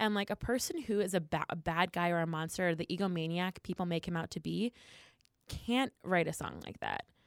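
On a very clean recording with a silent background and a dry, close sound with no echo, a woman with an American accent and an ordinary speaking voice talks fairly quickly at a fairly low pitch with ordinary pitch variation. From New Jersey, Philadelphia area. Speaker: improv comedian. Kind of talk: casual chat.

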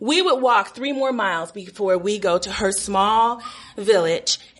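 A woman speaks over noticeable background noise. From Los Angeles, US. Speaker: storyteller. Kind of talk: live storytelling.

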